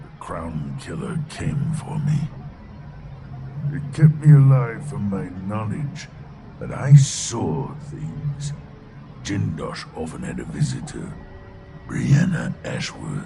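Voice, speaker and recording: A man does a put-on character voice at a fairly high pitch. He speaks very slowly, with long, frequent pauses and clear background noise. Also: big swings in loudness. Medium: video game.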